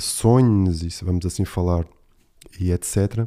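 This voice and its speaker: A man with a European Portuguese accent, very deep and low in pitch, dark and mellow in tone, at a fairly slow pace with ordinary pitch variation, on a very clean recording with a silent background. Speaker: podcast host. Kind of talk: casual solo monologue.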